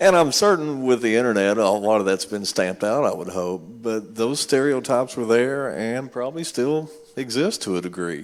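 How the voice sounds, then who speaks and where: A man with a Kentucky accent talks at a moderate pace and medium pitch, using lively intonation and hardly any pauses. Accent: Kentucky twang. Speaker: musician. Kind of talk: panel discussion.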